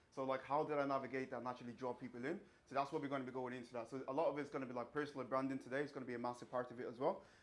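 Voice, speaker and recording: Speaking at a very fast pace with a slight Irish accent, a man keeps his intonation fairly even. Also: medium pitch for a man. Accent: slight Irish twang. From Ireland, countryside. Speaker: fitness coach and bodybuilder. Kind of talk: seminar talk. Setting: small room with live audience.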